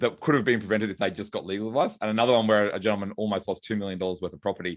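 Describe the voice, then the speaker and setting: A man talks at a very fast pace in a fairly low voice, his intonation fairly even. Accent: Australian. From Australia, Brisbane. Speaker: lawyer and author. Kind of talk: podcast interview.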